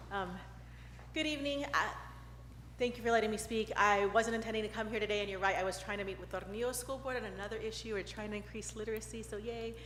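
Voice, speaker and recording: In an American accent, a woman talks at a very fast pace amid noticeable background noise and audible room echo. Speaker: state representative. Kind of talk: public comment at council meeting. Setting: council chamber podium mic.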